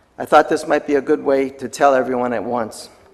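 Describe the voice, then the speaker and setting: A man speaks at a fairly high pitch with fairly even intonation. Noticeable background noise sits behind him. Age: 60s. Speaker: city council candidate. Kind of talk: public comment speech. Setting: city council meeting.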